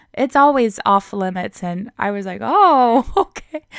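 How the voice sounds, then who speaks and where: A woman speaks at a fairly slow pace in an ordinary speaking voice. The recording is very clean with a silent background, and the sound is dry and close with no echo. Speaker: English teacher on video channel. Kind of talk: casual talk to camera.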